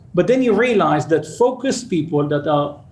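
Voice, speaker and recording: Lively intonation marks this man's fairly quick delivery. Audible room echo surrounds his voice. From Israel, suburb of Tel Aviv. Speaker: startup CEO. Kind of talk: interview.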